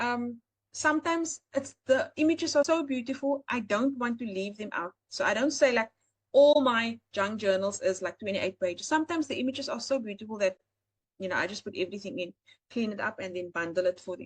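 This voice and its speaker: A woman's fairly high, fairly quick voice in a South African accent, with lively intonation and big swings in loudness. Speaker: AI art seller and webinar host. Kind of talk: live webinar tutorial. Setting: live online webinar.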